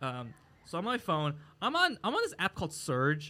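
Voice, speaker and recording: Here is a man with an American accent. His voice sits at a fairly high pitch. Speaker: comedian and podcast co-host. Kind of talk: casual chat. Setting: live recording at a market venue.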